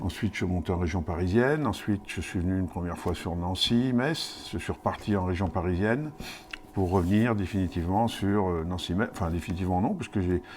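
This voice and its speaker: A fairly quick delivery, ordinary pitch movement, and noticeable noise in the background. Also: man, very deep, low pitch for a man. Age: 60s. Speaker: mayor. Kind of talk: interview. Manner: hesitant, many fillers.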